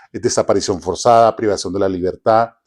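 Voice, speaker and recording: A man talks fairly fast in a very clean recording against a silent background. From Venezuela. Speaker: human rights specialist. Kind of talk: interview. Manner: halting, many false starts.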